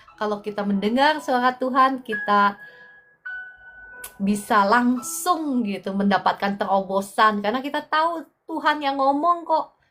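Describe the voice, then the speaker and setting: Music plays in the background as a woman with a high voice speaks at a fairly slow pace. Her intonation is lively. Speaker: online preacher. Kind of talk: livestream prayer and fellowship. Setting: live stream.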